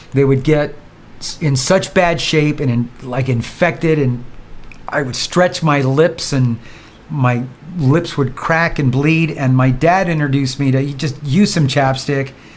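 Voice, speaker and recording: A man with an ordinary speaking voice talks at a fairly slow pace, fairly high in pitch, with fairly even intonation. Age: 60s. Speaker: vlogger. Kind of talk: casual vlog monologue. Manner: relaxed, conversational.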